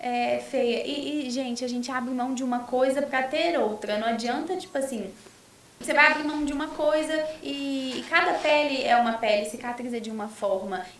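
Pitch variation is ordinary, and the pace is moderate. The room echo is audible, with noticeable background noise as well. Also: woman, high pitch for a woman. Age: 20s. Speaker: influencer and sales representative. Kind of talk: casual chat. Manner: animated.

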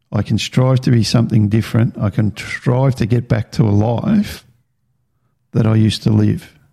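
With an Australian accent, a man of medium pitch speaks at a moderate pace in a dark, mellow, somewhat breathy tone, his intonation fairly even and his loudness very even. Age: 50s. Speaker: podcast host. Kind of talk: personal testimony monologue. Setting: home recording with video. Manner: halting.

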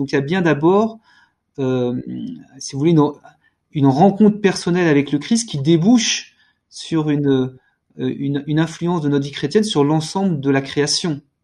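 Against a quiet background, a man talks at a fairly slow pace and fairly high pitch with ordinary pitch variation. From France. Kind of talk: panel discussion. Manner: halting, repeats words.

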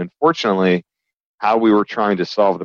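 A man with an American accent and an ordinary speaking voice, fairly low in pitch with ordinary variation, at a fairly quick pace. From US South, Alabama. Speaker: company CEO. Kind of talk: interview conversation.

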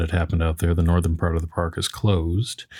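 The background is silent and the recording very clean as a man speaks. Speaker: podcast co-host.

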